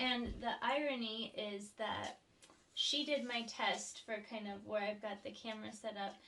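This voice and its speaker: Noticeable background noise is present. A woman speaks at a fairly high pitch with fairly even intonation. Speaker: vlogger. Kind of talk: casual chat. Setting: home studio. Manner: soft-spoken. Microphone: sounds very quiet on camera mic.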